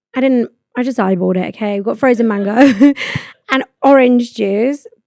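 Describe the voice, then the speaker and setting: A woman with a British accent speaks at a high pitch in an animated tone. Her intonation is lively, and the sound is dry and close with no echo. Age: 20s. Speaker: podcast host. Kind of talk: casual chat. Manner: fast.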